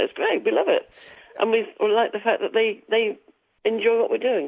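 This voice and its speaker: A woman with an English accent speaks at a fairly quick pace, her loudness very even throughout. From England, Wiltshire. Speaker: singer and musician. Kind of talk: radio interview.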